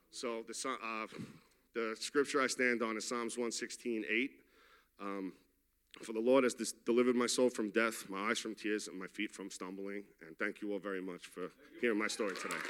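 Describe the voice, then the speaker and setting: A man speaks with a New York accent at a medium pitch. He keeps a moderate pace and fairly even intonation. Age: 30s. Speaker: recovering addict in a faith-based program. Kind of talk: testimony. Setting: church. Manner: casual and unscripted.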